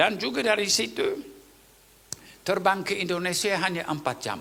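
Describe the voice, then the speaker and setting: Audible room echo surrounds a man whose bright, sharp voice carries vocal fry. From Papua New Guinea. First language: Tok Pisin (speaking Indonesian). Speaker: pastor. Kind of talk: sermon.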